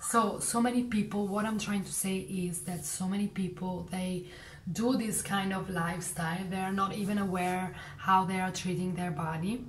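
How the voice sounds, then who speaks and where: A woman of medium pitch talks at a moderate pace with a non-native accent and fairly even intonation. Noticeable background noise and audible room echo fill the recording. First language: not English. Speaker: vlogger. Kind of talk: casual monologue. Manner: halting.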